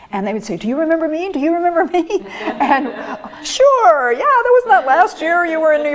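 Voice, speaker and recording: A woman with an American accent talks at a fairly quick pace. Background noise is noticeable. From Iowa, US Midwest. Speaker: retired college instructor. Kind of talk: oral history interview.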